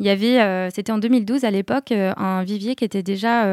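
Heard dry and close with no echo, a woman's dark, mellow voice sits at medium pitch with fairly even intonation. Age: 30s. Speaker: office manager, former journalist. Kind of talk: interview.

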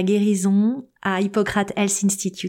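The voice has a dark, mellow tone and a fairly slow pace. The recording is very clean, with a silent background. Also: woman. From Paris suburbs, Seine-Saint-Denis (Aubervilliers). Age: 40s. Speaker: podcast host and life coach. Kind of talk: personal storytelling monologue.

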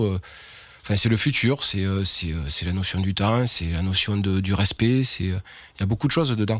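A man with a fairly low pitch and ordinary pitch variation speaks at a fairly slow pace. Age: 40s. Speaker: winegrower. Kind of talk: interview testimony. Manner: hesitant, many fillers.

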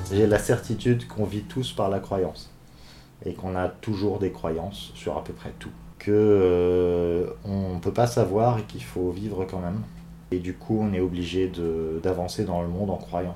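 Speaking fairly slowly, a man has a very deep, low pitch, a dark, mellow tone and lively intonation. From Brittany, France. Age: 30s. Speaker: interviewee. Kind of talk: personal testimony. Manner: halting, many fillers.

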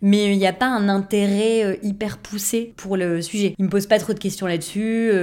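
On a very clean recording with a silent background, a woman with a normal speaking voice talks at a medium pitch and a moderate pace. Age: 30s. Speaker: improv actor. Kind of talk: casual interview.

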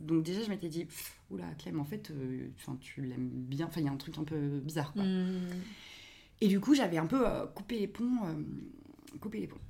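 A woman with a dark, mellow tone and fairly low pitch speaks at a moderate pace with lively intonation and long, frequent pauses, in audible room echo. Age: 30s. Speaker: podcast creator, audiovisual production worker. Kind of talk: casual interview chat.

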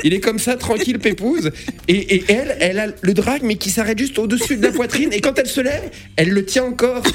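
Noticeable background noise sits under a voice that moves at a very fast pace with lively intonation. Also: man, extremely high pitch for a man. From eastern France, Lorraine (Nancy suburbs). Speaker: comedian and radio host. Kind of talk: radio interview. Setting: radio studio.

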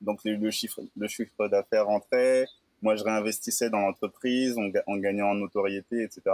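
The sound is dry and close with no echo as a man with a fairly low pitch talks at a moderate pace. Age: 20s. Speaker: moving company founder. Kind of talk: interview. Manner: halting.

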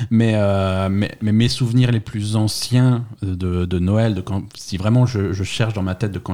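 A man speaks with a dark, mellow tone at a fairly low pitch, his intonation fairly even. The recording is very clean, with a silent background. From France, Alsace. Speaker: podcast guest. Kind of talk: casual chat. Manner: halting, many repetitions.

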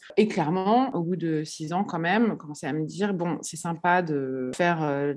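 With a plain, everyday voice, a woman speaks at a fairly slow pace with ordinary pitch variation against a quiet background. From Paris, France. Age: 30s. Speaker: florist. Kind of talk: interview.

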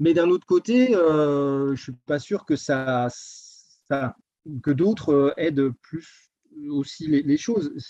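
Very slowly, a man speaks in a fairly high voice with a dark, mellow tone and ordinary pitch variation, recorded dry and close with no echo. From eastern France, Doubs (Jura). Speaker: public servant, ski resort area director. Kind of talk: interview. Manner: halting, many repetitions.

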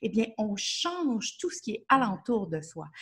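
In a Quebec accent, a woman speaks at a fairly slow pace in a fairly high, bright and sharp voice, her pitch swinging very widely. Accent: Québécois. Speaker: nutrition therapist and coach. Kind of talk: interview.

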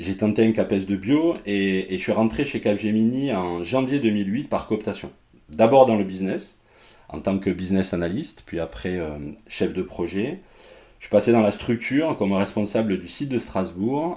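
A dark, mellow tone with lively intonation at a fairly slow pace. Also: man, fairly low pitch for a man. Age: 40s. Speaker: learning and development manager. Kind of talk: interview. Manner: halting.

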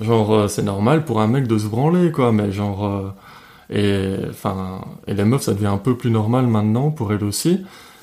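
A man speaks at a fairly slow pace with fairly low pitch, ordinary pitch variation, very even loudness, and long, frequent pauses. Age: 20s. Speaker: podcast guest. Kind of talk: casual chat.

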